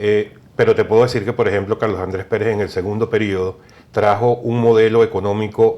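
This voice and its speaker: In a Venezuelan accent, a man speaks with a fairly low pitch. His pace is moderate. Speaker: political consultant. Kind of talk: TV interview.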